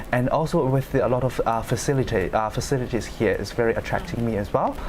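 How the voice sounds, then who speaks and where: A man with a Chinese accent speaks at a very fast pace with a medium pitch, very even loudness and fairly even intonation, over noticeable background noise. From China. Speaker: law student. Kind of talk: panel discussion. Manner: halting.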